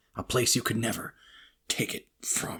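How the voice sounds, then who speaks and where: A man performs a raspy put-on character voice at a moderate pace. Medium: read story. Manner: taunting.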